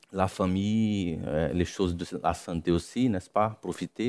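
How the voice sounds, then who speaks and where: A man in a Brazilian accent speaks fairly slowly at a fairly low pitch with ordinary pitch variation, on a very clean recording with a silent background. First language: Portuguese (speaking French). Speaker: missionary preacher. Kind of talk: sermon. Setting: church. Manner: halting.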